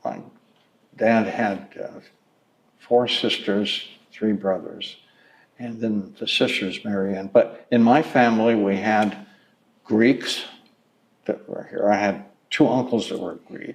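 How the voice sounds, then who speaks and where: A man with an American accent speaks at a medium pitch and a very slow pace, with ordinary pitch variation. Long, frequent pauses break up his speech, and his loudness swings widely. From Pleasanton, California (US West). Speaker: oral history interviewee, longtime resident. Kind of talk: oral history interview. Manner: halting, many fillers and restarts.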